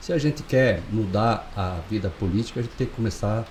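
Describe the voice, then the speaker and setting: A somewhat breathy male voice at a moderate pace. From southern Brazil, Chapecó (Santa Catarina). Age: 60s. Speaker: pharmacist and local election candidate. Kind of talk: interview. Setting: studio.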